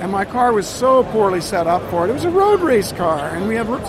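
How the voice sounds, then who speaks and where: With noticeable background noise and audible room echo, a man in an American accent talks at a moderate pace with lively intonation. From US, New York and Florida. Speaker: racing driver. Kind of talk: casual interview.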